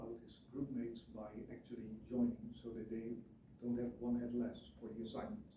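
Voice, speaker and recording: A man's somewhat breathy voice, dark and mellow in tone at medium pitch, moving at a moderate pace with fairly even intonation, in audible room echo. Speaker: student teacher. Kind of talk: presentation. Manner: mumbling at sentence ends; halting.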